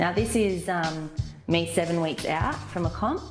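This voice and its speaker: With music in the background, a woman speaks at a moderate pace in an Australian accent. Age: 20s. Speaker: amateur figure competitor. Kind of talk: casual talk to camera. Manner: hesitant, many fillers.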